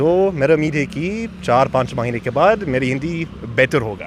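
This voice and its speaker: Noticeable background noise surrounds speech that has lively intonation. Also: man. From US Midwest, Michigan. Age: young. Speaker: tourist, Hindi learner. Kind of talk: casual interview.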